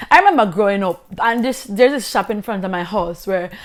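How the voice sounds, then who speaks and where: Animated and fairly high-pitched, a woman with a Jamaican accent speaks with ordinary pitch variation. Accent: Jamaican, Patois. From rural Jamaica. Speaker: vlogger. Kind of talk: casual storytelling vlog.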